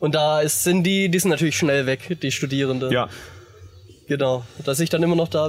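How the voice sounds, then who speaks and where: Fairly quick speech from a man, backed by music. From Baden-Württemberg, southwest Germany. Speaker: metal musician. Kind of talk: casual chat. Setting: outdoors at a festival campground.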